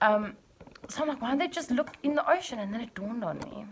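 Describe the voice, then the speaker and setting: A woman with a fairly high pitch talks very fast. Noticeable background noise is audible. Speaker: vlogger. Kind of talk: casual vlog monologue. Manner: animated.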